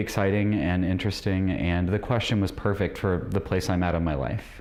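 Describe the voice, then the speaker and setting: There is audible room echo as a man speaks at a fairly quick pace. He has an American accent and a very deep, low pitch. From rural Illinois, US Midwest. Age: 40s. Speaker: debate contestant. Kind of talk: interview. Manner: halting, with many fillers.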